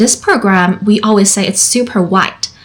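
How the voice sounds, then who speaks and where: The speaker has a Chinese accent and talks at a moderate pace with ordinary pitch variation. Noticeable background noise runs under the voice. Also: woman. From China. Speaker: therapist. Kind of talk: personal storytelling monologue.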